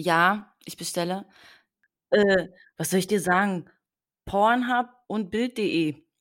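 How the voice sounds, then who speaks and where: A woman's medium-pitched voice at a very slow pace, with long, frequent pauses and ordinary pitch variation, on a very clean recording with a silent background. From eastern Germany, Potsdam. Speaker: podcast host. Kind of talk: interview.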